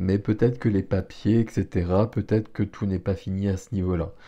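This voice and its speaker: A man with a fairly low pitch and a dark, mellow tone speaks with fairly even intonation against a quiet background. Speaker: tarot reader. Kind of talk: tarot reading. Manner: hesitant, with fillers.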